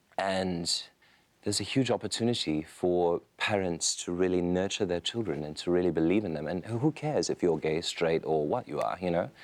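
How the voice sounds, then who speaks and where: A man with a very deep, low voice speaks at a moderate pace with ordinary pitch variation in a very clean recording with a silent background. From Taiwan, Hong Kong, Australia, US. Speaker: fashion designer. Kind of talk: interview.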